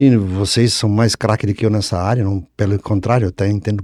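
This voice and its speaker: Recorded very cleanly with a silent background and a dry, close sound with no echo, a man speaks at a moderate pace with a fairly low pitch and a dark, mellow tone. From Santa Catarina, Brazil (Brusque area). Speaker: engineering professor and former surveyor. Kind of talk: casual podcast conversation. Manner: halting, with frequent restarts.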